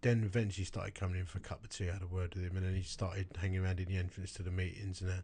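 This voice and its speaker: A man speaks at a very fast pace in a very deep, low pitch, with a monotone, flat intonation. His tone is dark and mellow, and somewhat breathy. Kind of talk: casual chat.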